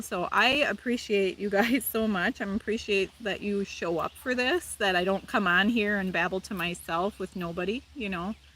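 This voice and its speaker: A woman speaks with a Wisconsin accent at medium pitch. Her pace is moderate and her pitch varies in an ordinary way. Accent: Wisconsin, noticeable. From Wisconsin, US. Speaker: live streamer, spiritual chat host. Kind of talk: casual live-stream chat reading comments. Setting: outdoors, live stream.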